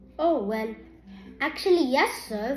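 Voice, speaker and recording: A woman's squeaky, put-on character voice over music in the background. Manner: timid, blushing, deferential.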